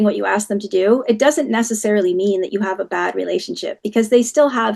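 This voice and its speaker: The speaker has a normal speaking voice. The pace is fairly quick. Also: woman. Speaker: parenting educator. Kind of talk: webinar talk.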